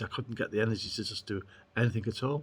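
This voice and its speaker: In a very clean recording with a silent background, a man speaks at medium pitch with a somewhat breathy voice. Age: 60s. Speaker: council emergency manager. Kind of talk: testimony. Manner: halting, many fillers.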